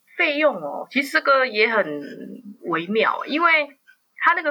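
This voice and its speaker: Her raised, projected voice sits at a high pitch and makes very wide pitch swings. The woman talks at a fairly slow pace. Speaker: journalist. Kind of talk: interview.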